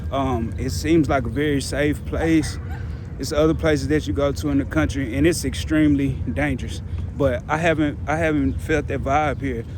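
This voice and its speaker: Noticeable background noise and audible room echo surround a man speaking at a moderate pace in an American accent. His medium-pitched voice swings very widely in pitch. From Texas, Dallas. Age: 30s. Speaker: independent journalist and vlogger. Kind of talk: street vlog with interviews. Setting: outdoors in a park. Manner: casual.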